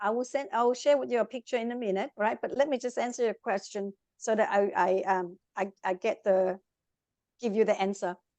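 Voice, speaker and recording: A woman with a Vietnamese accent, fairly high in pitch, with ordinary pitch variation. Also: fairly quick pace, dry, close sound with no echo. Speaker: life coach. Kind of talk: interview. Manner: animated.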